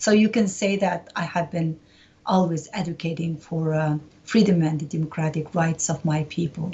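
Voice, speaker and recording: A woman with a Uyghur accent, fairly low in pitch, fairly even in intonation, at a moderate pace. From East Turkestan (Xinjiang), Urumqi. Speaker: human rights activist. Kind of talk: interview. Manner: frequent hesitations (uh, um).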